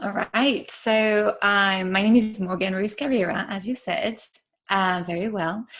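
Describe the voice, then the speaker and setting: A woman with a French accent speaks at a fairly slow pace. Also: medium pitch for a woman, ordinary pitch variation. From France. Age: 30s. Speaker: podcaster. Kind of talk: interview.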